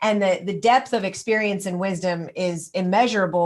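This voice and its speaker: A woman speaks in a normal speaking voice at a moderate pace and a medium pitch. Her intonation is fairly even, on a very clean recording with a silent background. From Kansas. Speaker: podcast host, doctor. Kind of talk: interview.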